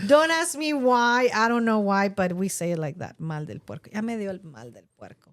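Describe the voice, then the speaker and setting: With a Spanish accent and a medium pitch, a woman talks at a moderate pace with hardly any pauses, her pitch swinging very widely and her loudness shifting in big swings. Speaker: podcast co-host. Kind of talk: casual chat.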